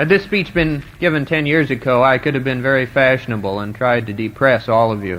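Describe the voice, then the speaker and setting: A man's plain, everyday voice in an American accent, medium in pitch, fairly quick with hardly any pauses and lively intonation. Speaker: college graduating student giving commencement speech. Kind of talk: commencement address, formal speech to an audience. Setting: live stage recording, 1970 vintage audio.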